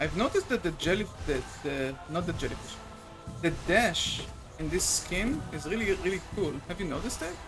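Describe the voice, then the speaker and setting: A high-pitched male voice with a non-native accent and lively intonation at a moderate pace, music in the background. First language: not English. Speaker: gaming streamer. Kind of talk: casual gameplay commentary. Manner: casual, with fillers and self-corrections.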